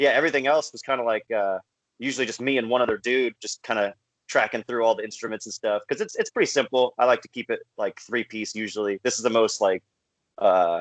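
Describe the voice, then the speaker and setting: The delivery is very fast with ordinary pitch variation, and the sound is dry and close with no echo. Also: man, medium pitch for a man. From California. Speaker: folk punk musician. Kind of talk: casual interview. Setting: video call.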